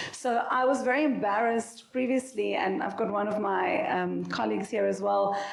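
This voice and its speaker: Noticeable background noise and audible room echo around a woman's moderately paced speech. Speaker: company founder and CEO, panelist. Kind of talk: panel discussion.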